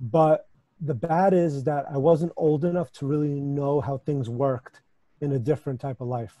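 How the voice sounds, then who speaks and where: A man speaks at a fairly high pitch with ordinary pitch variation. His tone is dark, mellow and somewhat breathy, in a dry, close sound with no echo. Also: moderate pace. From US, New York area, born in Ukraine. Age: 30s. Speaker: supplement company owner. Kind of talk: podcast interview.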